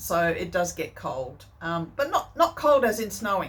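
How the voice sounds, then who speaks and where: A woman speaks at a medium pitch with an Australian accent. Her pace is fairly slow. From country Western Australia. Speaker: sewing vlogger. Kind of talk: casual chat. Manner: hesitant, many fillers.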